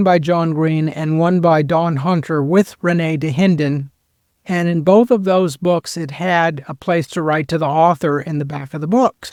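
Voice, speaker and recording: Recorded very cleanly with a silent background and a dry, close sound with no echo, a man with an American accent speaks in a high voice at a moderate pace with fairly even intonation. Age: 60s. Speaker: bigfoot researcher. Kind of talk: podcast interview.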